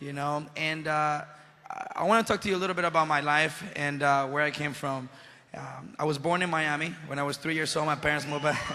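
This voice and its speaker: Over noticeable background noise, a man speaks with a Spanish accent. His pitch is fairly high and his pace fairly quick. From Venezuela. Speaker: actor and motivational speaker. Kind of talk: motivational speech to youth audience. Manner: animated.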